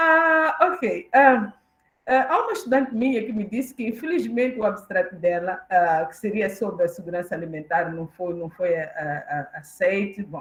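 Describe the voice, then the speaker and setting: A woman's somewhat breathy, medium-pitched voice with very wide pitch swings and big swings in loudness. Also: moderate pace. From Mozambique, southern, near Maputo. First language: Xangana (Tsonga) (speaking Portuguese). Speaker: professor, keynote speaker. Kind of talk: conference lecture. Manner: hesitant, many fillers.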